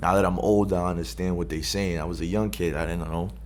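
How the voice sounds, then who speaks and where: Audible room echo surrounds a man with a very deep, low voice and vocal fry. He talks at a fairly quick pace. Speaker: rapper. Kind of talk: interview. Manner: casual.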